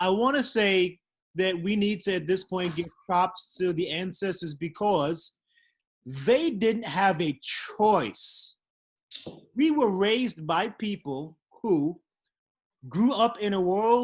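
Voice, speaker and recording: Very slowly and with long, frequent pauses, a man with an American accent speaks. His voice is high, with ordinary pitch variation. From Brooklyn, New York. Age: 50s. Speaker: panel moderator, spirits entrepreneur. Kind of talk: panel discussion.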